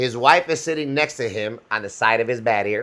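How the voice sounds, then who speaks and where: An animated, loud man with an American accent, a bright, sharp tone, lively intonation and a moderate pace. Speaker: podcast co-host; instructor. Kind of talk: casual chat.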